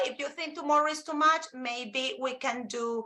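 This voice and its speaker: A woman projects a raised, high-pitched voice in a Spanish accent. Her tone is bright and sharp, with ordinary pitch variation. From Colombia. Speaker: Spanish teacher and presenter. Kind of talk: live webinar presentation.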